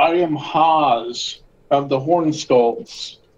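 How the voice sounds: A man uses a put-on character voice with a strong non-native accent. His pitch is fairly high. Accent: thick foreign.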